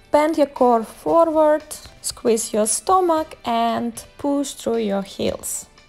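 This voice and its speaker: Faint music plays in the background as a woman speaks very slowly at a high pitch. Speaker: fitness instructor. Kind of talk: workout instruction with counting.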